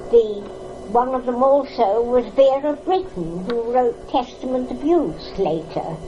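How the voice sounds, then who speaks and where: The pitch swings very widely, with noticeable background noise behind the voice. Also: woman. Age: 80s+. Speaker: First World War hospital ship nurse survivor. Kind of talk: interview answer. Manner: hesitant, reminiscing.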